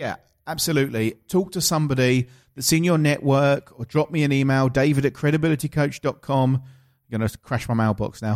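A man's fairly high voice in an Essex accent at a fairly quick pace, dry and close with no echo, on a very clean recording with a silent background. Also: ordinary pitch variation. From southeast England. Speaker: podcast host and coach. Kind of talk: casual interview. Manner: animated.

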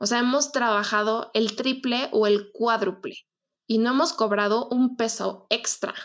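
A plain, everyday voice with very even loudness and ordinary pitch variation comes through against a quiet background. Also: woman, fairly high pitch for a woman. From Mexico City. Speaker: wedding planner. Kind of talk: casual chat.

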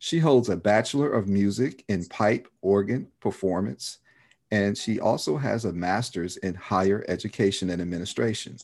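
A man speaks in a plain, everyday voice at a fairly low pitch with ordinary pitch variation. His pace is moderate, and the background is quiet. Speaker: podcast host. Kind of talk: interview, casual chat.

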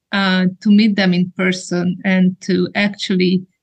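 Somewhat breathy and at a very slow pace, a woman talks with medium pitch and fairly even intonation. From Hungary. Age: 40s. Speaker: women's ministry trainer. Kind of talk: interview.

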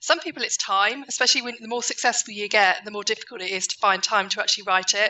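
At a very fast pace, a woman talks in a fairly high pitch with ordinary pitch variation. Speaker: author and book coach. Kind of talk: interview.

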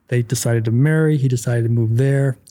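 A man with a dark, mellow, somewhat breathy tone speaks at a fairly quick pace. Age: 40s. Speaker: podcast host. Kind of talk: casual interview chat. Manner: animated.

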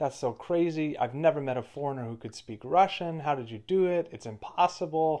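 A man in a plain, everyday voice, fairly high pitch, ordinary pitch variation, fairly quick pace with hardly any pauses, big swings in loudness, quiet background. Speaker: podcast host. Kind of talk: casual conversation.

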